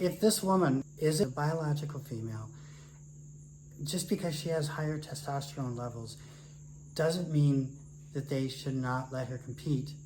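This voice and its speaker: With an American accent, a man talks at a moderate pace in a fairly high pitch, somewhat breathy and with ordinary pitch variation. Long, frequent pauses break up his speech, and room echo is audible. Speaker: retired academic, podcast co-host. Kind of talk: casual discussion.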